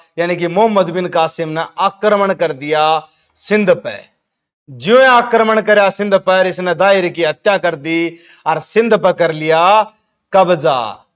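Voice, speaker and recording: Speaking with a Haryana accent, a man talks in a high pitch. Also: ordinary pitch variation. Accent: Haryanvi. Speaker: history teacher. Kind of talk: exam revision lecture. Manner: casual, storytelling.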